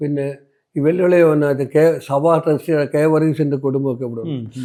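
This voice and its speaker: A man speaks with a dark, mellow tone at a fairly high pitch. His intonation stays fairly even. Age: 80s+. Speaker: retired postman and church lay preacher. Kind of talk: interview answer.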